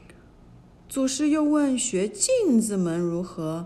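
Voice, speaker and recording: Somewhat breathy and dark, mellow in tone, a woman's fairly high voice moves with lively intonation. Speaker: storyteller narrator. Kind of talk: fairy-tale narration for children, reading a classic story aloud.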